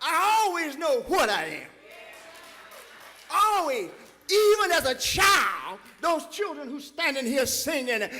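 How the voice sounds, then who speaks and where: Amid noticeable background noise, a man uses a raised, projected voice at an extremely high pitch with very wide pitch swings, speaking at a fairly slow pace with long, frequent pauses. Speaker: preacher, church pastor. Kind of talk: sermon delivered to a congregation. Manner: impassioned, emphatic, preaching cadence.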